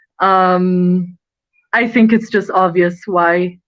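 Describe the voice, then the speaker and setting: A woman with a Nepali accent. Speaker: student and model. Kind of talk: interview. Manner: animated.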